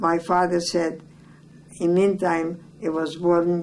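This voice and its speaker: In a room with audible echo, a woman speaks in a fairly low pitch with monotone, flat intonation. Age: 90s. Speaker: elderly family member interviewed about family history. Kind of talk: oral history interview. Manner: halting.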